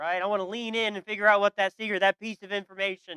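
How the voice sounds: Fairly even intonation runs through a natural reading voice.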